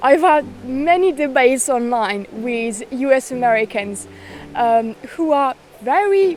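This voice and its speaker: Over noticeable background noise, a woman with a French accent speaks at a very slow pace in a high voice with lively intonation. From France. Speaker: witchcraft content creator. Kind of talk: casual talk to camera.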